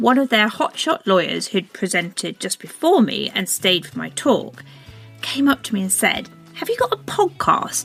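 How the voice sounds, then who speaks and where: A woman at a fairly slow pace over background music. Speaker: podcast host. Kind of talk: podcast monologue.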